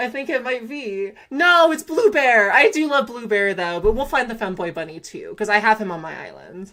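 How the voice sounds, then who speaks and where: In a Southern Californian accent, a woman with a fairly high pitch and a bright, sharp tone talks at a moderate pace with hardly any pauses, her animated delivery marked by very wide pitch swings and big swings in loudness. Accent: Valley Girl. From California, Antelope Valley. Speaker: gaming streamer. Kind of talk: casual live-stream chat.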